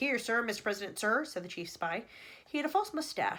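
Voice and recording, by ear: Text read aloud in a natural voice.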